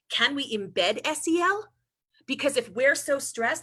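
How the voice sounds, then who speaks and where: Raising and projecting her voice, a woman with a New York accent speaks in a high pitch, with very wide pitch swings and a bright, sharp tone. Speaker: presenter at an educator training on social-emotional learning. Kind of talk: professional talk, conversational.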